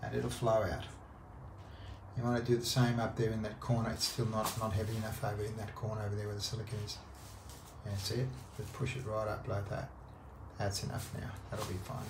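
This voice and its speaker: A fairly low-pitched man speaks at a fairly quick pace. There is noticeable background noise. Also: fairly even intonation. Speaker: instructor guiding a worker. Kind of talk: on-the-job instruction. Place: bathroom. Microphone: phone near.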